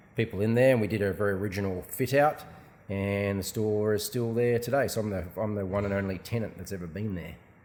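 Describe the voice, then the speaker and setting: A man's fairly low voice at a very fast pace, with a slight Australian accent. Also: ordinary pitch variation. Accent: faint Australian. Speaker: shop owner. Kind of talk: casual interview. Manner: hesitant, many fillers.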